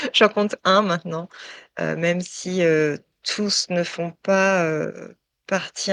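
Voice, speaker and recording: A woman talks in a fairly low voice with monotone, flat intonation. The sound is dry and close, with no echo. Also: quiet background. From France, Touraine region. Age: 40s. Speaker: tattooed model. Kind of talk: interview testimony. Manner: hesitant, many fillers.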